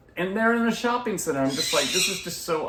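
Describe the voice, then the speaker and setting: This is a man's voice. He speaks with an American accent. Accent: slight Southern US accent, mostly covered. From US South, Atlanta, Georgia. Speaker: gardening YouTuber. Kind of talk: casual Q&A chat.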